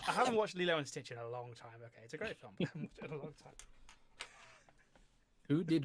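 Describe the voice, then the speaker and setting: With an English accent, a man talks very fast at a fairly high pitch, with very wide pitch swings, big swings in loudness and long, frequent pauses. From Hampshire, England.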